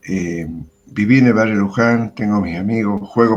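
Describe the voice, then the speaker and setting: At a moderate pace, a man is talking. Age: 60s. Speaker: retired history teacher. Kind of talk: interview. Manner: hesitant, many fillers.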